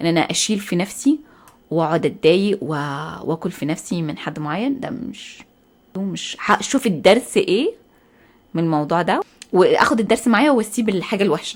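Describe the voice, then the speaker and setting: Loud and animated, a woman with an Egyptian accent speaks at a moderate pace in a medium pitch that swings very widely. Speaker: podcast host. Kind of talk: casual monologue.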